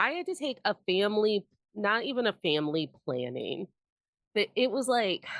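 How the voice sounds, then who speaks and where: With an American accent and vocal fry, a woman speaks at a moderate pace in an animated tone, her fairly high pitch making very wide swings. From Indiana, US Midwest. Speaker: podcast host. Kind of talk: casual chat.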